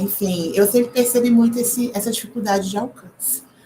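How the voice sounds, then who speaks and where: A woman talks in a fairly even tone while noticeable noise sounds behind her. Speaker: history PhD student and teacher giving a short course. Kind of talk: lecture.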